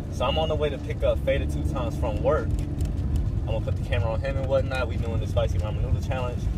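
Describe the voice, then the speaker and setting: A man speaks at a very fast pace over loud background noise, in a dry sound with no echo. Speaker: vlogger. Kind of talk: casual vlog chat. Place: car. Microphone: phone near.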